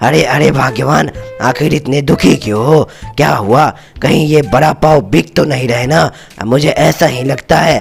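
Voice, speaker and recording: Clear music plays in the background as a man does a cartoonish character voice, raspy and medium in pitch, at a moderate pace. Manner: affectionate, repeats "arre, arre".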